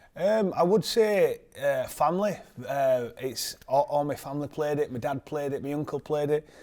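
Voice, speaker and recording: In a very clean recording with a silent background, a man with a Yorkshire accent speaks at a moderate pace, his dark, mellow tone fairly high in pitch with ordinary pitch variation. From northern England, Leeds. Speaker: professional rugby league player. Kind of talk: interview. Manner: halting, many fillers and repeats.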